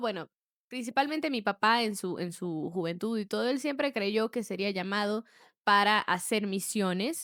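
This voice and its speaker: In a very clean recording with a silent background and a dry, close sound with no echo, a woman uses a normal speaking voice at a fairly high pitch with ordinary pitch variation. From Brazil, raised in Peru from age 8. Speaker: podcast co-host. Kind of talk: casual chat.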